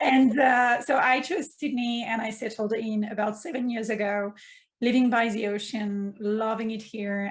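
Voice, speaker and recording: This woman has a French accent and a somewhat breathy, fairly high voice. She keeps a moderate pace with fairly even intonation. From France, Provence. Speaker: mindfulness coach. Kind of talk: casual interview.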